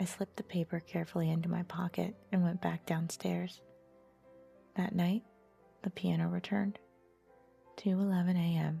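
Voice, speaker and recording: A soft-spoken woman with a fairly low pitch talks in a calm tone and a monotone, flat intonation. Her moderate pace has long, frequent pauses, with music in the background. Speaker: storyteller. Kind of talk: sleep story. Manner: soft-spoken, calm.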